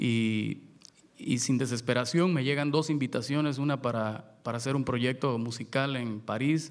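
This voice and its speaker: This is a man speaking. His intonation stays fairly even. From Mexico, port of Veracruz. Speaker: luthier and son jarocho musician. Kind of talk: panel talk. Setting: stage with audience. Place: stage. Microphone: podium.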